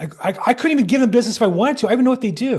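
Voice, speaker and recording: A man talks over a quiet background. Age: 60s. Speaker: real estate agent. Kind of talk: webinar class.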